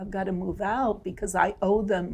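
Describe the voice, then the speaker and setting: Dark and mellow in tone, a woman speaks fairly slowly with fairly even intonation. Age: 70s. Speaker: retired teacher, constituent. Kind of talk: testimonial interview. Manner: conversational, with fillers.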